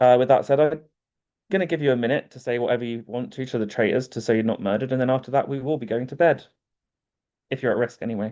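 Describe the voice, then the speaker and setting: Speaking very fast in a British accent, a man uses a medium pitch, a dark, mellow tone and ordinary pitch variation. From UK. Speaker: game host. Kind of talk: online game hosting.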